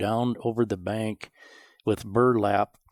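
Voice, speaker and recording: Very slow and flat in intonation, a man with a western US accent speaks at a fairly low pitch on a very clean recording with a silent background. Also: dry, close sound with no echo. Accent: rural western US. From Montana, rural. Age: 70s. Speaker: rancher. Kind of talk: interview storytelling.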